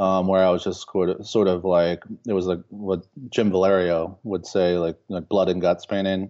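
A man with an American accent speaks at a moderate pace in a very deep, low voice, his intonation monotone and flat. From Baltimore, Maryland, US. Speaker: painter. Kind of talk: interview. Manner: halting, many fillers and repetitions.

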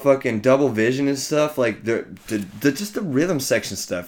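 With an American accent, a man with an unremarkable speaking voice talks at a moderate pace and medium pitch, using lively intonation. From Ellensburg, Washington, US Pacific Northwest. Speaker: musician. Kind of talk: casual chat.

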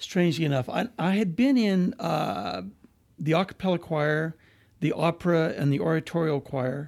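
This is a man with an American accent speaking at a moderate pace. The recording is very clean, with a silent background. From eastern Washington, US. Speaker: museum curator. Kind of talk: interview.

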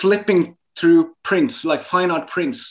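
Here a man speaks in a Norwegian accent at a high pitch. His intonation is lively and his pace moderate. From northern Norway. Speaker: photographer. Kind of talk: interview. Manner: halting.

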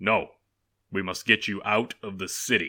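On a very clean recording with a silent background, a man puts on a raspy character voice, fairly low in pitch, at a moderate pace. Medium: read story. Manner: solemn, urgent.

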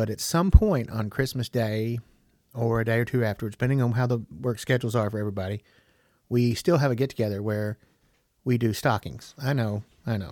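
Speech in a Southern US accent comes at a fairly quick pace with ordinary pitch variation, recorded dry and close with no echo. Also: man, medium pitch for a man. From US South, Tennessee. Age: 50s. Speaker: podcast host. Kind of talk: casual solo monologue.

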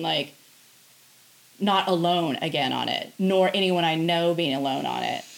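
Noticeable noise sits behind a speaker with an American accent. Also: woman. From US Pacific Northwest, Tri-Cities, Washington. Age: 50s. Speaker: podcast host and musician. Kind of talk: casual chat. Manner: long-winded.

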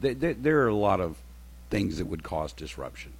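A man speaks with a Southern US accent and vocal fry. Audible room echo surrounds his voice. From rural Alabama. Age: 60s. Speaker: retired military intelligence officer. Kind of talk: radio talk show interview. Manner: halting, full of ums and repeated words.

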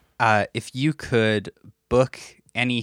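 A man with a Canadian Prairie accent, at a fairly slow pace and with ordinary pitch variation, in a very clean recording with a silent background and a dry, close sound with no echo. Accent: Canadian (prairies). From Canada, Saskatchewan. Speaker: podcast host. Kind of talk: interview.

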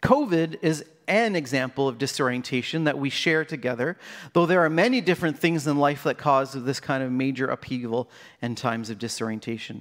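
Using an unremarkable speaking voice, a man talks at a fairly quick pace in a fairly high pitch with ordinary pitch variation. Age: 40s. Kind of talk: sermon.

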